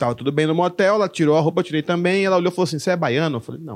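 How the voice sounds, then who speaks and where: A man speaks at a high pitch with ordinary pitch variation. Behind him the background is quiet. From Brazil, moved between many states (military family). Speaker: stand-up comedian. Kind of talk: casual chat.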